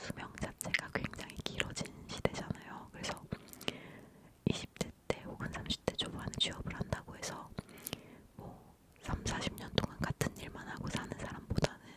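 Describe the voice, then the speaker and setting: Someone whispers with long, frequent pauses and big swings in loudness. Noticeable background noise sits behind the voice. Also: woman, moderate pace. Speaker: ASMR content creator. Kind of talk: ASMR whispered talking, giving life advice. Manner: whispered, soft-spoken, intimate.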